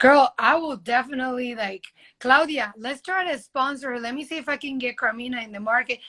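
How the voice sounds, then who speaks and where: A woman's high, raised and projected voice with a bright, sharp tone, a fairly quick pace and ordinary pitch variation. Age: 30s. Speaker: model. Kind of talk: casual chat. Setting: live video stream.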